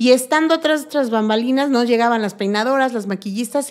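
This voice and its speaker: A woman talks in a high pitch with ordinary pitch variation. The background is quiet. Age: 40s. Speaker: make-up artist and body painter; podcast guest. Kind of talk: casual chat. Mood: warm, enthusiastic. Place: studio. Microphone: studio mic.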